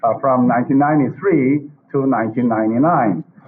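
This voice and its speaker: A man with a Korean accent, noticeable background noise behind him. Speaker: professor and webinar moderator. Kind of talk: formal moderation. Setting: video call. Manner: halting, many fillers.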